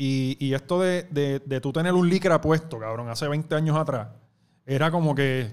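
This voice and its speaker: Here a man with a Puerto Rican accent speaks at a moderate pace, his fairly high voice showing ordinary pitch variation. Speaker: youtuber and former radio host. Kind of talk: casual chat.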